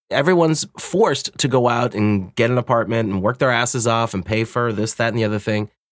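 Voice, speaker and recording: A man speaks in a normal speaking voice at a medium pitch, with ordinary pitch variation. He talks at a fairly quick pace with hardly any pauses, in a dry, close sound with no echo. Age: 40s. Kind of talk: casual chat.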